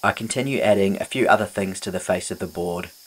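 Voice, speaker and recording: A man's fairly low voice with a New Zealand accent, over noticeable background noise. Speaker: furniture restorer and YouTuber. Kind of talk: tutorial voiceover. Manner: upbeat.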